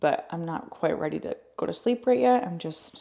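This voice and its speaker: A woman's dark, mellow voice, fairly low in pitch, at a moderate pace. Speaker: lifestyle vlogger. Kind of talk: casual vlog narration. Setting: at home. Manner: soft-spoken; casual, filler-heavy.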